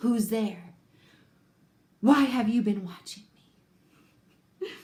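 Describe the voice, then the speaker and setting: In a put-on character voice that sounds female, the speaker talks at a fairly slow pace with a fairly high pitch and a hissing quality. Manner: hissing, suspicious.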